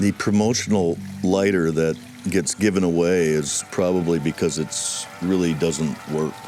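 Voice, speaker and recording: A man speaks with an American accent in a very deep, low pitch, at a fairly slow pace. His loudness stays very even, with music playing in the background. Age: 50s. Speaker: gardener and former bartender. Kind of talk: documentary interview. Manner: casual, with frequent fillers.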